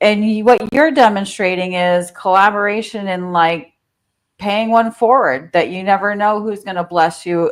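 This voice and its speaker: This woman speaks with a New Jersey accent at a moderate pace. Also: medium pitch for a woman, ordinary pitch variation. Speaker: real estate coach. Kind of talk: interview.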